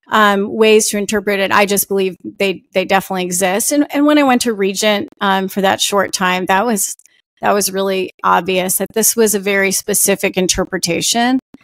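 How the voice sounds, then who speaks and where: In a dry, close sound with no echo, a woman speaks at a moderate pace with ordinary pitch variation and hardly any pauses. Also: medium pitch for a woman. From New Jersey. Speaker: author. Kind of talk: interview. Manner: halting; loud. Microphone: audio is good.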